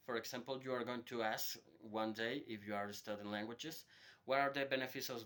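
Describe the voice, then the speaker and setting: The voice has a bright, sharp tone and a Spanish accent. Its pitch variation is ordinary. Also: man. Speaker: hotel worker giving a language lesson. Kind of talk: informal lecture to students. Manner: hesitant, with repetitions and fillers.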